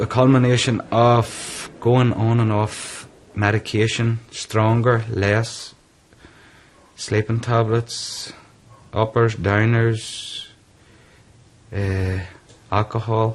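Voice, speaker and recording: A man's medium-pitched voice in a Northern Irish accent, very slow, monotone and flat, with long, frequent pauses. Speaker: businessman living with depression. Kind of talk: interview testimony.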